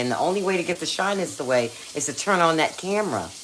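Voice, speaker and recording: A woman talks very fast at a fairly low pitch, her pitch swinging very widely. Noticeable background noise sits behind her. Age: 60s. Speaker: cooking and crafts YouTuber. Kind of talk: casual live-stream cooking chat. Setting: live stream on camera in a kitchen.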